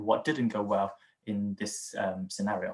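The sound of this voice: A man's voice, pace fairly slow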